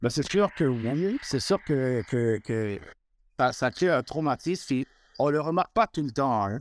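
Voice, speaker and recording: On a very clean recording with a silent background and a dry, close sound with no echo, a man with a normal speaking voice talks fairly slowly at a fairly high pitch with lively intonation. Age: 40s. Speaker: mortgage broker, victim of racial profiling. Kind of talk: testimony.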